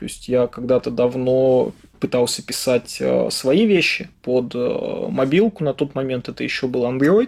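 A man talks in a normal speaking voice. His pitch is medium, with ordinary variation. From Russia, Yaroslavl. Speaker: head of software development department. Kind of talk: interview.

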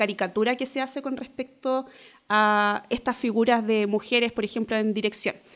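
A woman's fairly even intonation over music in the background. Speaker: diversity and inclusion consultant. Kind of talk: casual chat.

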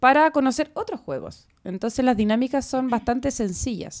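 A woman speaks in a Chilean accent with a high pitch and lively intonation at a moderate pace. The recording is very clean, with a silent background. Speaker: publisher. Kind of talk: casual chat.

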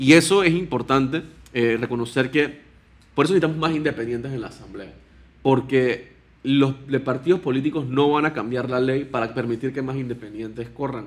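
A man with a plain, everyday voice, medium in pitch, moves fairly quickly, and his pitch varies an ordinary amount. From Panama. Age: 20s. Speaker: political candidate. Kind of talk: interview.

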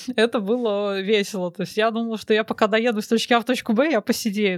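On a very clean recording with a silent background and a dry, close sound with no echo, a woman with fairly high pitch and ordinary pitch variation talks at a very fast pace. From Moscow, Russia. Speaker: programmer. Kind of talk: casual chat.

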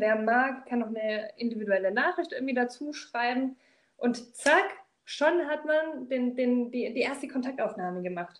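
Speaking at a moderate pace, a woman holds a high pitch with ordinary pitch variation. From Swabia, southern Germany. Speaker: corporate trainer and recruiter. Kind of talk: casual interview.

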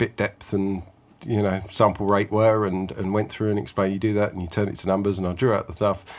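On a very clean recording with a silent background, a man has a plain, everyday voice, fairly low in pitch with fairly even intonation. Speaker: podcast host and guitarist. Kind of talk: casual interview.

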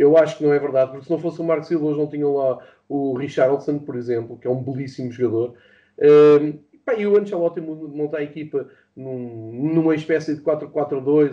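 The speaker talks at a moderate pace with a European Portuguese accent. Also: man, big swings in loudness. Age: 40s. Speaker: football fan and pundit. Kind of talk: casual chat. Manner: halting.

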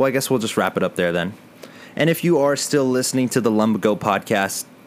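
With an American accent, a man speaks at a very fast pace. His medium-pitched voice carries lively intonation. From Texas, San Antonio. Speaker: podcast co-host. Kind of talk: casual chat.

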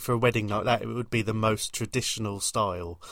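A man talks at a fairly quick pace in an ordinary speaking voice with ordinary pitch variation, recorded very cleanly against a silent background. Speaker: podcast host. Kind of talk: casual chat.

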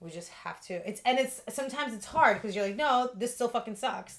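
In an ordinary speaking voice, a woman talks fairly quickly at a fairly high pitch with ordinary pitch variation. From Russia, moved to Los Angeles at 11. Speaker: yoga studio founder and instructor. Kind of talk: casual interview.

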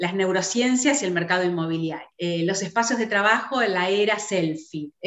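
The speaker talks at a moderate pace in a Rioplatense accent. The intonation is lively. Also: woman. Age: 50s. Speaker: real estate broker. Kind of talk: interview conversation. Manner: halting with frequent repetitions.

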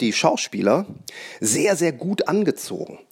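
The man's delivery is very slow. Very wide swings run through his pitch. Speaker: magician and podcast host. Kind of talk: solo podcast monologue. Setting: at home on the couch.

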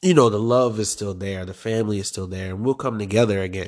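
Against a quiet background, a man with an ordinary speaking voice talks at a fairly low pitch with fairly even intonation. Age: 20s. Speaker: podcast host. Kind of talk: personal monologue. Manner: casual, conversational.

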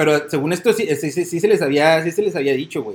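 The voice belongs to a man with a fairly high pitch. He speaks at a fairly quick pace. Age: 30s. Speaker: sports podcast co-host. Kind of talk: casual chat.

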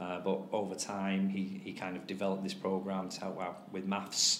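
A man with a Greater Manchester accent talks at a moderate pace. His voice sits fairly low, and the room echo is audible. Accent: northern English (Oldham). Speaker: teacher and tutoring business owner. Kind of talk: casual interview. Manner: halting, many fillers.

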